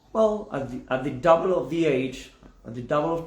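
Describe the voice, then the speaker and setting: A man with an Argentine accent talks at a fairly quick pace and fairly high pitch, his intonation lively and the room echo audible. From Argentina. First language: Spanish. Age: 40s. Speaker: spiritual teacher. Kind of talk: video explainer monologue. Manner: halting, with false starts.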